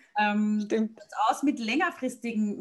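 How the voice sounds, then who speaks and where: A woman with a fairly high pitch and a somewhat breathy voice. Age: 40s. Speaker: podcast host and blogger. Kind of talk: interview.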